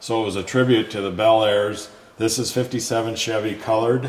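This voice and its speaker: Monotone, flat intonation at a moderate pace, with audible room echo and noticeable background noise. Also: man. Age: 70s. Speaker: car collector. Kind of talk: casual chat. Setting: garage showroom.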